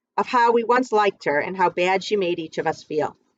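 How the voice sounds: A natural reading voice carries the clip.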